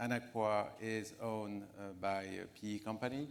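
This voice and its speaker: A man speaks in a French accent at a fairly low pitch, with audible room echo. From France. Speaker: finance executive panelist. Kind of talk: conference panel discussion. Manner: halting, many fillers.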